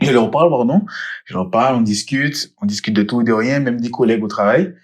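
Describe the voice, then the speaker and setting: A man at a medium pitch, quick-paced and lively in intonation. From Guadeloupe. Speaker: podcast co-host. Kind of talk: casual chat. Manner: animated.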